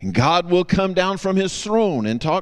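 This man has a Southern US accent and a high pitch. He speaks with lively intonation. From US South. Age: 50s. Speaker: guest preacher. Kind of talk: sermon.

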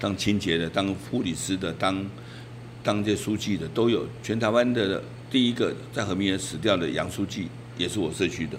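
Speech at a moderate pace with ordinary pitch variation carries audible room echo. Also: man, fairly low pitch for a man. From Taiwan, Taipei Wanhua. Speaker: neighborhood chief. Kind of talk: interview. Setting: on location in community.

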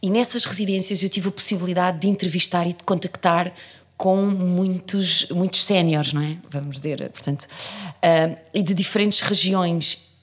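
An unremarkable speaking voice from a woman, fairly low in pitch, with fairly even intonation at a moderate pace. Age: 40s. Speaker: actress and theatre director. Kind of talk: interview.

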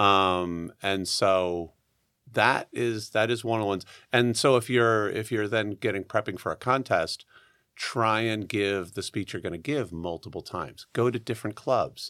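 The very clean recording, with its silent background, captures a man at a fairly low pitch and moderate pace, his tone bright and sharp with ordinary pitch variation. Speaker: Toastmasters contestant. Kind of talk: casual interview chat. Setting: studio.

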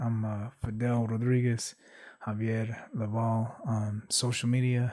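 A man's dark, mellow tone in an American accent, medium-pitched with monotone, flat intonation, on a very clean recording against a silent background. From US West Coast, Santa Barbara. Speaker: podcast host. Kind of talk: casual chat.

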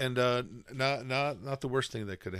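A man speaks at a moderate pace and a medium pitch. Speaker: podcast co-host. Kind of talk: casual chat. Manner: laughs often.

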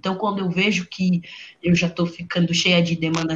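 Medium pitch and a somewhat breathy quality in a woman's voice. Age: 20s. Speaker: fashion entrepreneur. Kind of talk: casual chat.

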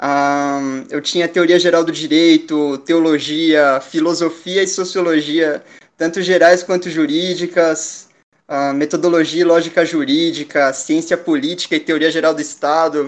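A man with a high pitch speaks at a fairly slow pace in a monotone, flat intonation. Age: 20s. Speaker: law student. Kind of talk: casual chat.

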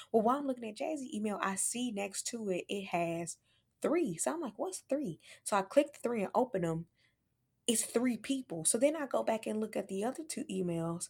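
A somewhat breathy woman with an American accent, fairly high pitch, very wide pitch swings and a fairly quick pace, on a very clean recording with a silent background. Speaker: podcast host. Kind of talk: casual banter. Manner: animated, joking.

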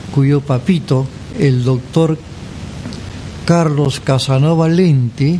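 Over noticeable background noise, the speaker talks at a very slow pace with ordinary pitch variation and long, frequent pauses. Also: man, fairly high pitch for a man. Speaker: radio host. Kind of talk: radio presenting. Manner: warm, announcer-style.

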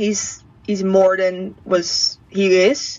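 A woman speaks with a Dutch accent. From southern Netherlands. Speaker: former au pair. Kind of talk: interview. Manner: halting.

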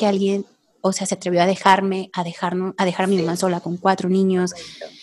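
The recording is very clean, with a silent background and a dry, close sound free of echo. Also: woman. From Mexico, Tepic, Nayarit. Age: 30s. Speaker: women's group leader. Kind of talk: casual chat.

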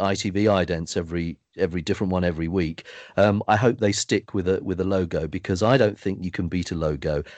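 Speaking fairly quickly, a man uses a very deep, low voice. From southern England. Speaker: TV continuity announcer and newsreader. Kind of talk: interview.

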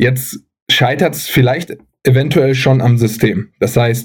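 Speaking at a very slow pace, a man with a medium pitch sounds somewhat breathy. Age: 30s. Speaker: athletic trainer and physiotherapist. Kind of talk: casual chat.

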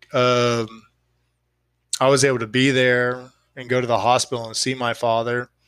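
With an American accent and a medium pitch, a man speaks in a monotone, flat way at a moderate pace, leaving long, frequent pauses. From Austin, Texas. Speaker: guest, friend of the show. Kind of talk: casual chat, serious discussion about grief.

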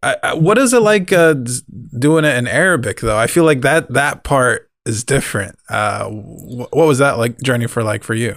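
Over a very clean recording with a silent background, a man uses a normal speaking voice at a fairly high pitch, with lively intonation and a moderate pace. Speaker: podcast co-host. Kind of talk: casual chat.

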